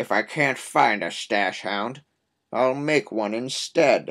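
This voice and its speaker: A man does a raspy put-on character voice at a medium pitch, using lively intonation and a fairly slow pace. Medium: read story. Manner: sly, scheming.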